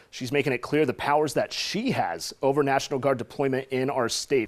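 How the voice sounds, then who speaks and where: In a plain, everyday voice, a man with an American accent talks at a fairly quick pace, his pitch fairly high with ordinary pitch variation. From Orange County, California, USA. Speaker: television news anchor and reporter. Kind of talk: TV news anchor read.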